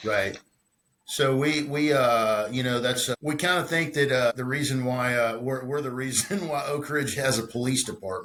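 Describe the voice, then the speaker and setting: A man with a Texan accent at a moderate pace. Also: medium pitch for a man, ordinary pitch variation. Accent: Texan Southern US. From Texas, Conroe / north Houston area. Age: 50s. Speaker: guitar builder and musician. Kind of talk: casual interview chat. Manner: halting, many repetitions and fillers.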